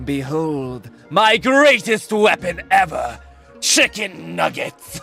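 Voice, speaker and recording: A man puts on a character voice, high-pitched and raised to project, at a very slow pace. Faint music plays in the background. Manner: menacing, dramatic, mock-serious.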